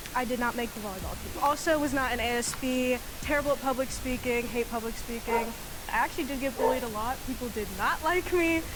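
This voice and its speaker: Talking at a very fast pace, a woman speaks in a high pitch with fairly even intonation over noticeable background noise. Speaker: game show contestant. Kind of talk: reality show confession. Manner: stutters.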